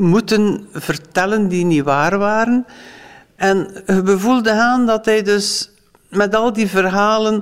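She speaks at a very slow pace. This woman's pitch sits at a medium level. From West Flanders, Belgium. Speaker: former foster parent. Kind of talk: interview testimony.

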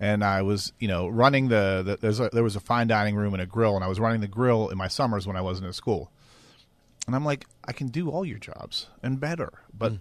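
A man with an American accent and an ordinary speaking voice, fairly low in pitch with ordinary variation, at a fairly quick pace over a quiet background. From western Pennsylvania. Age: 50s. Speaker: chef. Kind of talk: interview.

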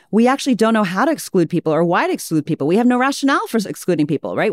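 A woman is heard on a very clean recording with a silent background. The sound is dry and close, with no echo. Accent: American. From US, Virginia (childhood abroad). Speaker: expert in group dialogue and conflict resolution. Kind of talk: interview conversation.

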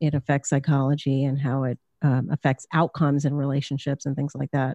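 The background is quiet. The pace is moderate. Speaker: psychology professor and podcaster. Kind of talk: interview.

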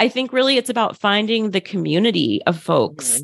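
In an American accent, an ordinary speaking voice moves at a moderate pace with lively intonation over a quiet background. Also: woman. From US, Philadelphia suburbs. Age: 30s. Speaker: psychiatrist. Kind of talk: interview conversation.

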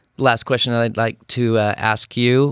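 At a fairly slow pace, a man with an American accent talks at medium pitch on a very clean recording with a silent background. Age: 50s. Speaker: podcast host. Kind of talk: casual chat. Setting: studio.

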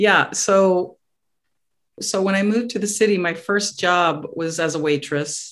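Against a quiet background, a woman talks at a fairly slow pace in a normal speaking voice, fairly low in pitch with ordinary pitch variation. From New York area. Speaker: chef. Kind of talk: casual chat.

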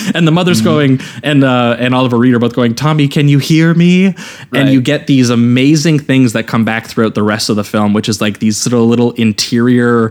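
With a normal speaking voice, a man at medium pitch talks at a fairly quick pace and very even loudness. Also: ordinary pitch variation. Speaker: podcast host. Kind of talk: casual podcast discussion.

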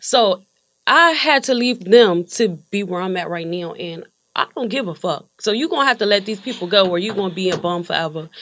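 This woman talks at a fairly quick pace. Her pitch is medium and her intonation lively. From Wilmington, Delaware. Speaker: rapper. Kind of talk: casual chat.

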